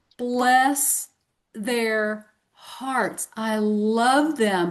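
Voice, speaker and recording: The woman's voice is fairly high in pitch and has ordinary pitch variation. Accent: Southern US. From US South. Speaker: podcast co-host. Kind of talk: casual chat. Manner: animated.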